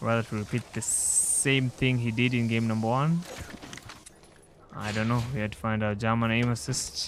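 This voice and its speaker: Noticeable background noise behind a man's speech of ordinary pitch variation. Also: medium pitch for a man, moderate pace. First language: not English. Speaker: esports commentator. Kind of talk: live commentary.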